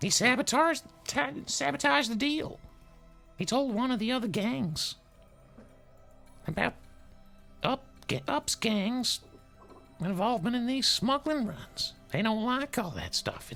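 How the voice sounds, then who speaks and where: Over clear music in the background, a woman does a put-on character voice, fairly high in pitch with very wide pitch swings, at a moderate pace with long, frequent pauses. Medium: actual play. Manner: halting, rambling.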